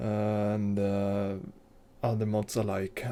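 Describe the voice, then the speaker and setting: A man's fairly low voice in a dark, mellow tone, with a Swedish accent. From Sweden. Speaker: game modder and artist. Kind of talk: video tutorial / devlog. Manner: halting, many fillers.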